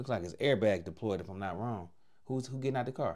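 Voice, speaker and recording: There is a man talking. Behind him, things are quiet. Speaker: reaction video host. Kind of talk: commentary. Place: home room. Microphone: lapel.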